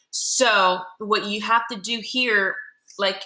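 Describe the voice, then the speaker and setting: Through audible room echo, a woman speaks at a medium pitch with ordinary pitch variation and a bright, sharp tone. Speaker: middle school math teacher. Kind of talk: classroom lesson. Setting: classroom. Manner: casual, conversational.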